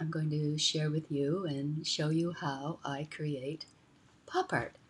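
A woman speaks at a very deep, low pitch in a somewhat breathy voice over light background noise. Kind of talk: casual vlog chat. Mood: cheerful, playful. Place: home room. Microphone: webcam.

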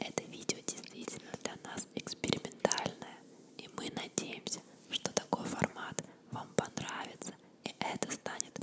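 Soft-spoken whispering comes at a fairly slow pace beneath loud background noise. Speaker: video host. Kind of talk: casual vlog chat, soft ASMR-like. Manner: soft ASMR whisper close to mic. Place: home room. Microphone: studio mic.

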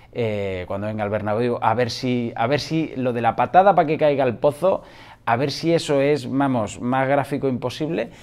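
A man speaks at a moderate pace in a medium pitch, with ordinary pitch variation. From Spain, Madrid. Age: 40s. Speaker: football YouTuber. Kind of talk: casual vlog commentary. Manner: animated. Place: home room. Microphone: lapel.

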